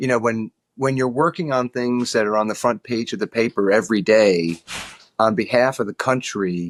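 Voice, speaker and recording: The speech moves at a moderate pace with ordinary pitch variation, recorded very cleanly over a silent background, the sound dry and close with no echo. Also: man, medium pitch for a man. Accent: New York. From New York. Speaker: lobbyist. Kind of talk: casual interview chat. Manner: halting, repeats words.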